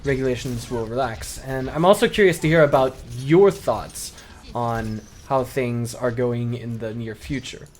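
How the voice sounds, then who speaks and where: A medium-pitched man with a non-native accent at a moderate pace, music in the background. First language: not Chinese. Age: 20s. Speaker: esports commentator. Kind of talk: casual vlog monologue. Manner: hesitant, with fillers.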